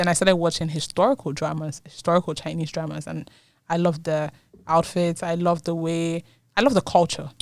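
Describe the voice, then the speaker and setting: A woman talks at a very fast pace. Her pitch is fairly low. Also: fairly even intonation, very clean recording, silent background. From Nigeria. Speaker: university student. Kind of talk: interview. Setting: studio.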